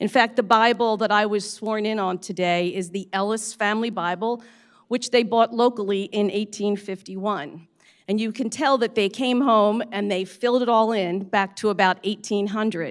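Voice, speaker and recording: A woman with a normal speaking voice and an American accent, fairly high in pitch with fairly even intonation, at a moderate pace in a very clean recording with a silent background. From Pennsylvania, Bucks County. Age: 60s. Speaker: county commissioner. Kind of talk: inauguration speech.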